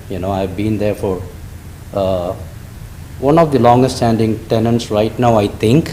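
There is audible room echo and noticeable background noise. A man talks at a moderate pace with a fairly low pitch and ordinary pitch variation. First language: not English. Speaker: restaurant owner, public commenter. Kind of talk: public comment at council meeting. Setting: council chambers. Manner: halting.

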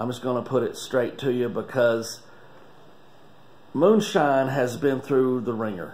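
A man with a North Carolina accent speaks at a fairly slow pace with long, frequent pauses. His medium pitch shows ordinary variation. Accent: Southern US (North Carolina). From Wilkes County, North Carolina. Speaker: master distiller. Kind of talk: casual talk to camera. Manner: enthusiastic. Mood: earnest, emotional. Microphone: phone near.

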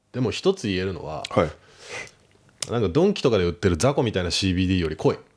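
Over a quiet background, a man with a very deep, low pitch and lively intonation talks at a fairly quick pace with hardly any pauses. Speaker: rapper; podcast guest. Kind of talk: casual chat. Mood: relaxed, casual. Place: studio. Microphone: studio mic.

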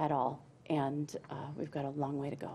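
A woman with an American accent, very deep and low in pitch, dark and mellow in tone, at a fairly slow pace. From Murdock, western Minnesota; Minnesota. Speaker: state senator. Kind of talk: political roundtable discussion. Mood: earnest, argumentative policy talk. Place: studio.

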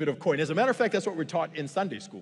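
Against a quiet background, a man talks in an animated tone. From Zimbabwe, Bulawayo; Zimbabwe. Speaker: pastor. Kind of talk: sermon. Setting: church. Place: stage.

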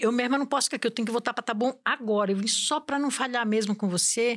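Against a quiet background, a woman speaks with a fairly high pitch and ordinary pitch variation. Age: 60s. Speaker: domestic worker; podcast guest. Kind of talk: casual chat. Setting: studio. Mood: animated, humorous storytelling. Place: studio. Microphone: studio mic.

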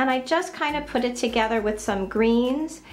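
A woman's voice with ordinary pitch variation and faint music in the background. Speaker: home decor vlogger. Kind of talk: casual home tour narration. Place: bathroom. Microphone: phone near.

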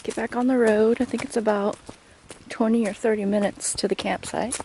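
Over light background noise, a woman talks at a moderate pace. Her intonation is monotone and flat, with a dry sound and no echo. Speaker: travel vlogger. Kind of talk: casual vlog chat. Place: forest. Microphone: phone near.

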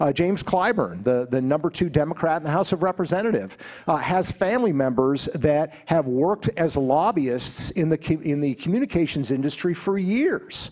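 At a moderate pace with hardly any pauses, the speech holds a very even loudness and lively intonation against a quiet background. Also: man. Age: 50s. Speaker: investigative journalist and author; investigative journalist. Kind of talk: speech to student conference with Q&A. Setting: stage with audience. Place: hall. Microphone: handheld.

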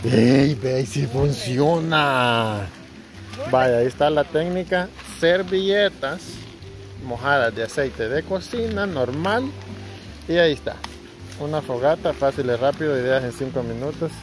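Clear music plays behind a man who talks at a fairly slow pace with long, frequent pauses, in a dry sound with no echo. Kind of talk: casual vlog chat. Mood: playful, laughing. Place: garden. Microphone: phone near.

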